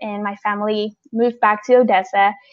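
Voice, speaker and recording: Speaking fairly quickly in a fairly high pitch, a woman with an American accent keeps a monotone, flat intonation. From northern Mexico (Chihuahua), then West Texas from 13. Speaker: university student. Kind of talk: personal testimony.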